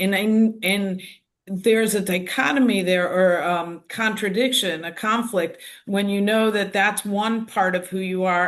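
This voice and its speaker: A woman talks at a fairly slow pace in a medium pitch, with fairly even intonation. She has a plain, everyday voice. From United States. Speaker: activist. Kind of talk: panel discussion.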